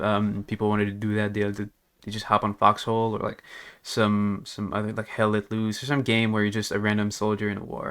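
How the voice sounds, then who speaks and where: This man speaks at a fairly quick pace in a fairly low pitch, with monotone, flat intonation and a slight non-native accent. The recording is very clean, with a silent background. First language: not English. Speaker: gaming youtuber. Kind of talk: casual gaming commentary rant. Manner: rambling with many fillers.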